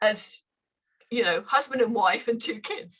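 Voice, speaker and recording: Speaking in a Scottish accent, a woman uses a high pitch, lively intonation and a bright, sharp tone at a moderate pace. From northern Scotland. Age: 70s. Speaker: runner. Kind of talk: casual chat.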